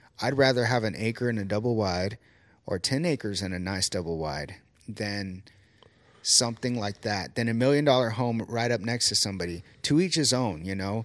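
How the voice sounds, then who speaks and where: Speaking at a moderate pace, a man with an ordinary speaking voice uses a fairly low pitch and ordinary pitch variation. The recording is very clean and the background silent. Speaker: podcast host. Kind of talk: casual interview conversation.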